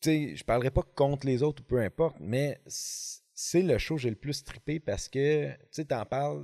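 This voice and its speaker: The voice has a dark, mellow tone and a Quebec accent, moving at a fairly slow pace. The recording is very clean, with a silent background. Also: man, fairly high pitch for a man, ordinary pitch variation. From Quebec, Montreal. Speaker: fishing podcast host. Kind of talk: casual chat. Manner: animated.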